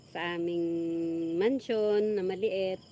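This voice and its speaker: Intonation is fairly even. The voice carries a dark, mellow tone. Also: woman. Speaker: vlogger. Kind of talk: casual livestream chat.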